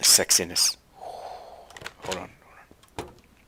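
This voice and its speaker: The speaker has an American accent, heard over noticeable background noise. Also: man. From US South. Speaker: gaming YouTuber. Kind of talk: gameplay commentary. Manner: casual, conversational.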